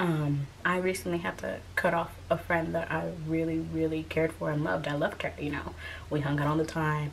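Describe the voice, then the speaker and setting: A woman's very deep, low-pitched voice at a moderate pace, with ordinary pitch variation. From Haitian family. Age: 20s. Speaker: YouTuber. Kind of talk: casual talk to camera.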